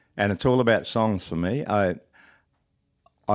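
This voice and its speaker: A man with an Australian accent, fairly low in pitch with ordinary pitch variation and a relaxed tone, on a very clean recording with a silent background and a dry, close sound with no echo. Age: 70s. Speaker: country and roots musician. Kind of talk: casual interview chat. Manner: relaxed, halting with fillers.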